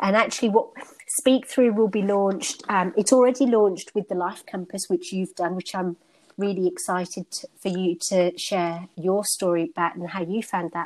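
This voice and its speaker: At a moderate pace, a woman talks with a British accent. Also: medium pitch for a woman, ordinary pitch variation. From United Kingdom. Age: 40s. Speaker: stress management coach. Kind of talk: interview conversation.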